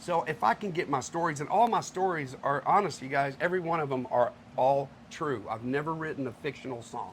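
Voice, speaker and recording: Somewhat breathy speech from a man with an American accent and lively intonation. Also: fairly high pitch for a man, fairly quick pace. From Texas, Houston area. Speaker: country singer-songwriter. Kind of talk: casual interview. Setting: live on location at a restaurant venue with audience.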